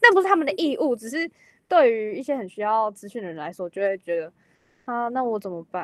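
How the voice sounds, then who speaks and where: A woman at a fairly quick pace, with very wide pitch swings and a dry, close sound with no echo. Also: fairly high pitch for a woman. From Taiwan. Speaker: exchange student, drama major. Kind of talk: casual chat.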